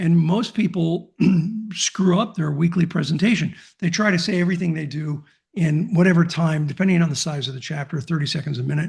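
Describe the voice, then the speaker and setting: Fairly quick speech from a man, high in pitch, with ordinary pitch variation. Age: 60s. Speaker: business networking organization founder. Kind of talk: interview.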